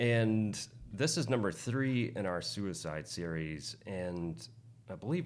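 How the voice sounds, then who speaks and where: Speaking at a fairly slow pace, a man uses lively intonation and a fairly low pitch. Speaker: podcast co-host. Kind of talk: casual chat. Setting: studio.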